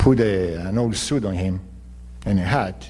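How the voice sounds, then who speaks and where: A man's somewhat breathy voice with a dark, mellow tone, lively intonation, and audible room echo. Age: 60s. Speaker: mayoral candidate. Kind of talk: political debate. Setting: public forum broadcast on radio.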